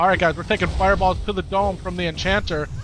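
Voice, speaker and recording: A man with an American accent at a fairly quick pace, against noticeable background noise. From US Upper Midwest, Wisconsin. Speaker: video game streamer. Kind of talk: live gameplay stream chat. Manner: casual, repetitive chatty.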